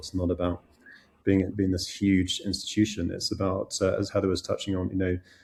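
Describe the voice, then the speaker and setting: With a British accent, a man speaks at a fairly quick pace in a fairly low, somewhat breathy voice on a very clean recording with a silent background. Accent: British-sounding. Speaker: head of an international school. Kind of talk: podcast interview. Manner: halting, many repetitions.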